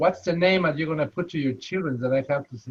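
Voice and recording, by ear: A man with a strong Spanish accent, fairly high pitch, slightly husky edge and fast pace. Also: ordinary pitch variation.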